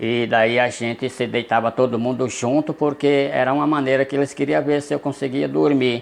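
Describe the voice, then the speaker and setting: This is a man with an unremarkable speaking voice. His pitch is medium, with ordinary variation. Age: 60s. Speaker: storyteller. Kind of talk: personal storytelling. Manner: conversational, addressing viewers.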